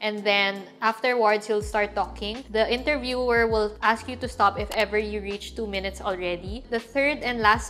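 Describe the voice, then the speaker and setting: A woman at a moderate pace with music in the background. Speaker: lifestyle and travel vlogger. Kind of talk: casual, instructional vlog. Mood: calm, friendly. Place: home room.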